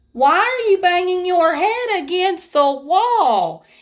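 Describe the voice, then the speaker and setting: Pitched extremely high, a put-on character voice speaks fairly slowly. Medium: read story. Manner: gentle, reassuring.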